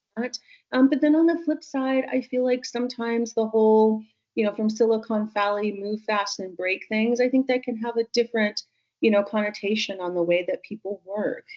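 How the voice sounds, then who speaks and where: A woman talks at a fairly quick pace with a Californian accent, her fairly high pitch moving with ordinary variation. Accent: California. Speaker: tech business leader. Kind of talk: podcast interview.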